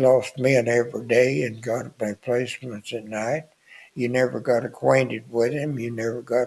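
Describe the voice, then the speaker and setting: A man with a Southern US accent talks at a medium pitch and a moderate pace. His intonation stays fairly even. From US South. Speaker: war veteran. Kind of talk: elder life story, plainspoken wartime reminiscence. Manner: rambling, folksy storytelling with filler words like anyway, why; chuckles often, understated about danger. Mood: somber reminiscence. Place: studio. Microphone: studio mic.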